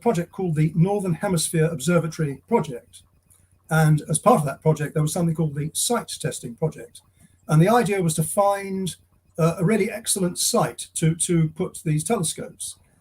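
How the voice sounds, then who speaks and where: A man with an English accent talks at a fairly quick pace. His pitch is high, with ordinary pitch variation. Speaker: retired astronomer, site tester. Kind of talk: interview. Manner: halting; quiet. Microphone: too quiet at first.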